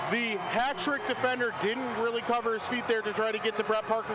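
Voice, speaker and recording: Over noticeable background noise, a man talks at a very fast pace with an extremely high pitch and a monotone, flat intonation. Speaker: hockey color analyst. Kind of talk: color commentary. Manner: conversational, analytical, explaining plays with casual asides.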